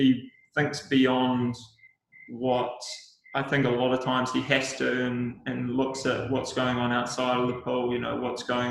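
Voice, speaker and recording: A man with a New Zealand accent talks at a fairly slow pace. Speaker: Olympic swimmer. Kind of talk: casual interview chat.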